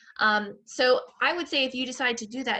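Speaking with an American accent, a woman has a bright, sharp tone, some vocal fry and ordinary pitch variation. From Michigan. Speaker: public health academic and voting advocate. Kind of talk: interview on voting.

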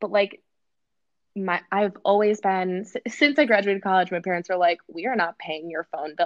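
A woman with an American accent speaks in a plain, everyday voice at a medium pitch. Her pace is moderate, and her pitch varies in an ordinary way. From Wisconsin, US Midwest. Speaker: social media influencer. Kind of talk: interview.

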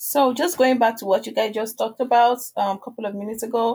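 A woman speaks in a Nigerian accent. Her pitch is fairly high, with ordinary pitch variation. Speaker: online seller. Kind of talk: casual interview. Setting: video call.

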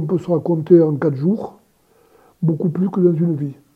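Here a man speaks in a high pitch at a moderate pace. The intonation is fairly even. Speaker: retired general, war veteran. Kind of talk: testimony. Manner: halting.

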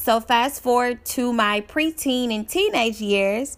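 This woman uses an ordinary speaking voice, talking fairly slowly with ordinary pitch variation. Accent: American. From Dallas, Texas. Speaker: author and public speaker. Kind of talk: testimony.

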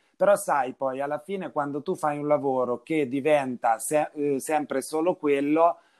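A man with a normal speaking voice talks fairly slowly at a fairly high pitch, the sound dry and close with no echo. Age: 30s. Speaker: winery director. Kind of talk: casual chat.

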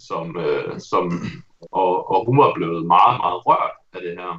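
This man speaks at a very slow pace. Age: 30s. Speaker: game reviewer. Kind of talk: casual chat.

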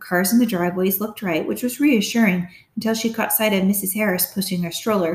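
The clip features a natural reading voice. It is a natural reading voice throughout.

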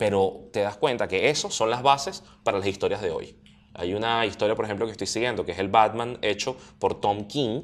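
On a very clean recording with a silent background, a man with a Venezuelan accent speaks at a fairly quick pace and a medium pitch, with ordinary pitch variation. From Venezuela, Charallave. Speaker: comics enthusiast guest. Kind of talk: casual conversation.

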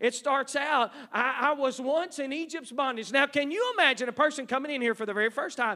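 This man speaks with an American accent at a fairly quick pace, his voice raised and projected. His pitch varies in an ordinary way. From East Texas. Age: 50s. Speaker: missionary. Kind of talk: sermon. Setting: church. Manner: halting.

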